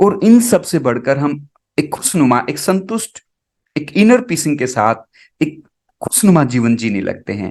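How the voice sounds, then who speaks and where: With long, frequent pauses, a fairly high-pitched man speaks with very wide pitch swings. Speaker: spiritual healer and meditation guide. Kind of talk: guided meditation. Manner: slow, calm, soothing.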